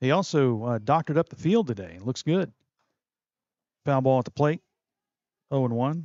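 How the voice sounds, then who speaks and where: Speaking at a moderate pace with a medium pitch, a man uses lively intonation and leaves long, frequent pauses. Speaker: play-by-play sports broadcaster. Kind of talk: live commentary.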